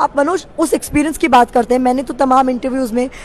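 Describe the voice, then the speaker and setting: A high-pitched woman's voice at a moderate pace, with noticeable background noise. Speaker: TV news reporter. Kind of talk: casual conversation. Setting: social media live video. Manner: animated.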